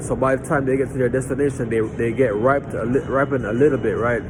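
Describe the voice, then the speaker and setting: A man at a medium pitch is heard with audible room echo and noticeable background noise. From Jamaica. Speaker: lay preacher. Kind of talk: storytelling; informal Bible teaching. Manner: halting, with many repeated words.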